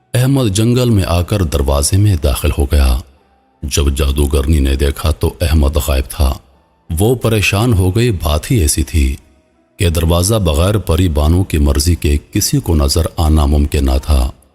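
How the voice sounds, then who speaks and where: A man's very deep, low voice with lively intonation and very even loudness over background music. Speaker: voice actor. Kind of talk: story narration.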